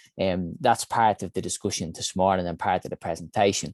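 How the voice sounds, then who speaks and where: With an Irish accent, a man speaks at a fairly quick pace and ordinary pitch variation, in a dry, close sound with no echo. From Ireland, Dublin. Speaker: health innovation founder and CEO. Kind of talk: conference talk.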